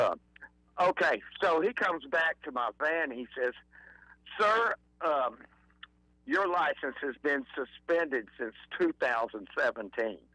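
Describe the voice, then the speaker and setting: A man with an Alabama accent speaks at a fairly slow pace, with long, frequent pauses. His fairly high, bright, sharp voice makes very wide pitch swings. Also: dry, close sound with no echo. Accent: Southern US (Alabama). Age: 70s. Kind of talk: casual chat.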